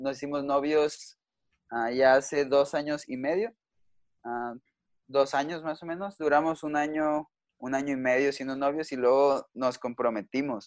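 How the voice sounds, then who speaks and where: A plain, everyday voice, a man's at fairly high pitch, moves at a fairly slow pace with fairly even intonation over a quiet background. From Mexico. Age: 20s. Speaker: youth pastor. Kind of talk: casual chat.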